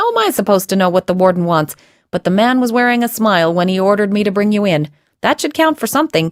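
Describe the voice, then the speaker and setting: Speaking very fast in a put-on character voice, a woman keeps a medium pitch, lively intonation and very even loudness, in a dry, close sound with no echo. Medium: read story. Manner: wry, joking.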